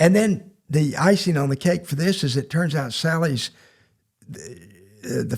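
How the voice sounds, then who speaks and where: A man talks in a Southern US accent. His voice is somewhat breathy. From Mississippi Gulf Coast. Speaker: poet and teacher. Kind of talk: anecdotal storytelling in podcast interview. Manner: halting, with repeated words.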